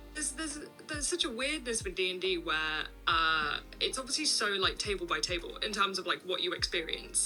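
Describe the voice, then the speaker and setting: Music runs in the background as a woman speaks very fast. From English Midlands. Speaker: social media content creator. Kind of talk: podcast interview. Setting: video call.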